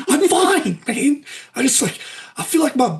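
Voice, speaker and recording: A put-on character voice delivers the lines at a moderate pace. The pitch sits high. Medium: actual play. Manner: rambling, says 'man' constantly.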